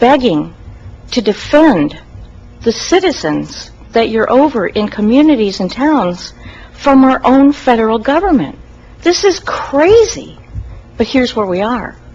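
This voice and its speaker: A woman with an American accent speaks fairly slowly in a high pitch with very wide pitch swings and long, frequent pauses, over noticeable background noise. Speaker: citizen giving public comment. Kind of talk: public comment at county meeting. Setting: county commission meeting, at a mic. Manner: unscripted, informal.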